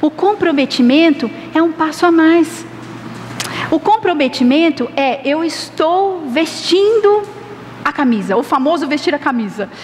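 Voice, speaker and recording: Noticeable background noise surrounds a woman speaking at a high pitch with lively intonation. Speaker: pastor. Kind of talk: sermon.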